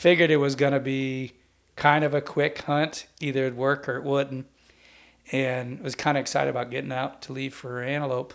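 Monotone, flat intonation from a man at medium pitch with an American accent and moderate pace. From central California. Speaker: hunting podcast host. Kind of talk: casual chat.

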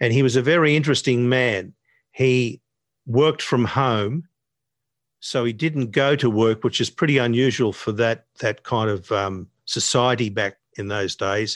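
A man with an Australian accent speaks at a fairly slow pace and a medium pitch, his pitch varying in an ordinary way, with a dry, close sound, no echo and a quiet background. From Sydney, Australia (Northern Beaches). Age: 70s. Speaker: jazz guitarist and music educator. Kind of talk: casual interview.

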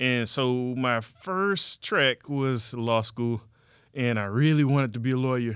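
A man with a normal speaking voice and an American accent, medium pitch, ordinary pitch variation, very even loudness and a fairly slow pace, on a very clean recording with a silent background. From Texas, Houston area. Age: 30s. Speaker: math teacher. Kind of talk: interview.

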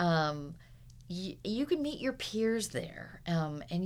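A woman with an American accent, with audible room echo. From Southern California (Huntington Beach). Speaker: animation art director. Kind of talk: interview.

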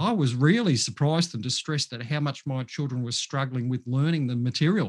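Over a quiet background, a man with an Australian accent talks with ordinary pitch variation. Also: medium pitch for a man, fairly quick pace. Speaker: mental health professional. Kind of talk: casual interview.

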